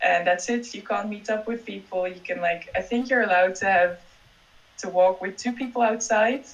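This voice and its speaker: A woman with a Dutch accent over noticeable background noise. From Netherlands. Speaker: PhD student. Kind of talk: casual interview.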